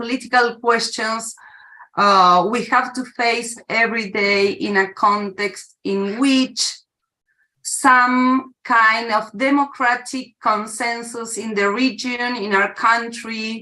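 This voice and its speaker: Someone talks in a Spanish accent at a very slow pace. The intonation stays fairly even. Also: woman. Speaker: academic discussant. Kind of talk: academic Q&A question. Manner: halting, many fillers.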